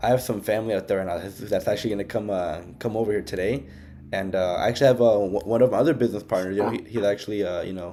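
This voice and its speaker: Talking at a very fast pace, a man with an American accent has a fairly low pitch and a dark, mellow tone. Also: ordinary pitch variation. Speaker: business recruiter. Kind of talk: casual chat. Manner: talkative, many fillers; loud.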